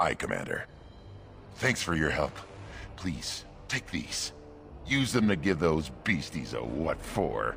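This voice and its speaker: A put-on character voice moves at a fairly slow pace with very wide pitch swings and long, frequent pauses over clear background noise. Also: man, very deep, low pitch for a man. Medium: video game. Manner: gruff, enthusiastic.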